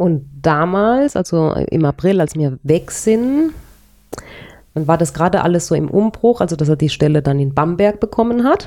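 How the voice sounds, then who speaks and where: In a plain, everyday voice, a woman speaks at a moderate pace with a fairly low pitch. Her intonation is lively and her loudness very even. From Palatinate, Germany (Speyer area), later childhood in Paraguay. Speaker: interviewee sharing her life story. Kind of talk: personal life story in a casual interview.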